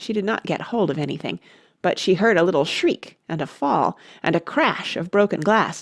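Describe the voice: A stretch of plain reading aloud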